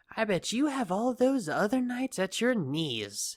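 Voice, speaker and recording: A put-on character voice with fairly high pitch at a moderate pace. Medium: audio drama. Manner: taunting, theatrical, smug.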